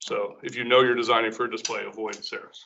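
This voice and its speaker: A man is speaking. His pace is fairly quick. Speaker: workshop presenter, poster design trainer. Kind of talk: workshop presentation. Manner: fast; loud.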